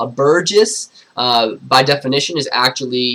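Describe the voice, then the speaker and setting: In an American accent, a man talks with a bright, sharp tone. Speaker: teacher. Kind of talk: livestream review lesson. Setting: livestream. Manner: fast.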